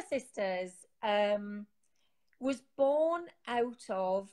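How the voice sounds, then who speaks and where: A woman speaks with a Geordie accent at a very slow pace. Her pitch swings very widely. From northern England, Newcastle. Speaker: sobriety support community founder. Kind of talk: interview.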